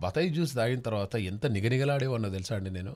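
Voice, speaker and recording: An animated man with ordinary pitch variation against a quiet background. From Telangana (Nalgonda district); Telangana. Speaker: radio host. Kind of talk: live call-in radio show. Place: studio.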